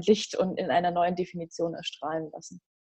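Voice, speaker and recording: A woman speaks very fast. Her tone is dark and mellow, and her pitch is fairly low. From Bavaria, Germany (Regensburg). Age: 30s. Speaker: life coach. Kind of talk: casual interview. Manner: animated.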